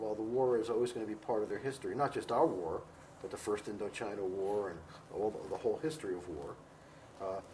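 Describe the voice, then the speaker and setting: Someone speaks in an American accent at a very fast pace with noticeable background noise. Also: man, fairly low pitch for a man, ordinary pitch variation. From United States. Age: 60s. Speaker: professor and author on Vietnam. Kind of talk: interview. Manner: halting, many fillers.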